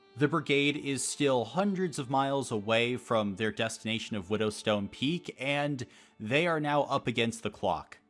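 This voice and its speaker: Over music in the background, a man talks at a medium pitch and moderate pace with lively intonation. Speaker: game master YouTuber. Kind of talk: campaign recap monologue.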